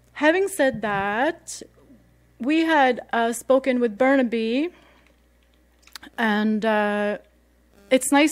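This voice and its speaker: The speaker talks with a Swedish accent and ordinary pitch variation. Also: woman. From Sweden. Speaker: radio host. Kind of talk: casual radio talk. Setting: radio studio. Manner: casual, many fillers.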